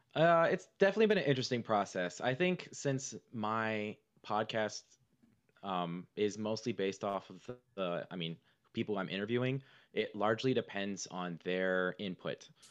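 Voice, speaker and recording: This man has a fairly low pitch. His intonation is lively. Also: quiet background. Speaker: saxophone teacher and podcaster. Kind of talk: casual interview chat. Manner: fast talker.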